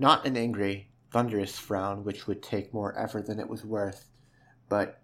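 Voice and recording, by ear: Someone reads aloud in a natural voice, keeping a fairly even intonation.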